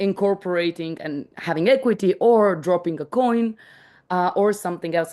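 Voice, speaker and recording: Against a quiet background, a woman with a non-native accent talks at a moderate pace in a dark, mellow tone, fairly low in pitch with ordinary pitch variation. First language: not English. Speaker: startup team member presenting a contributor-reward tool. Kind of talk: online meeting explanation. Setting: video call. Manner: halting, many restarts.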